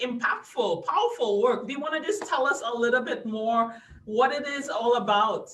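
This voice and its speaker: A fairly high-pitched woman at a moderate pace, with audible room echo. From Trinidad and Tobago. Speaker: podcast host. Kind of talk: interview.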